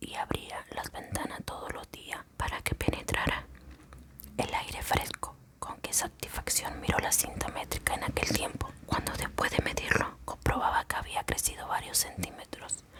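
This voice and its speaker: A moderately paced whisper against clearly audible background noise. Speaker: ASMR creator. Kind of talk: short story reading. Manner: whispered.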